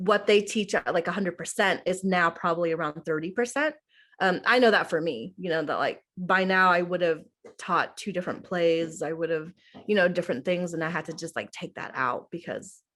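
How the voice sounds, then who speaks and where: A woman with an American accent talks at a moderate pace in an ordinary speaking voice, her pitch fairly low with ordinary variation. The background is quiet. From Oklahoma. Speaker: middle school theater teacher. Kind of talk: interview. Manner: casual, many fillers (um, like).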